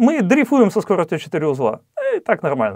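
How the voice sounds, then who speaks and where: Against a quiet background, a man with a high pitch talks at a fairly quick pace, his pitch swinging very widely. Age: 40s. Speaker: real estate investor, channel host; channel host. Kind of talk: educational presentation with slides. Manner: frequent hesitations (э). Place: studio. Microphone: lapel.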